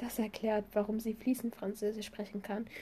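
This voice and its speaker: A woman speaks at a fairly high pitch, somewhat breathy. Her tone is dark and mellow. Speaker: podcast host. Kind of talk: reading aloud.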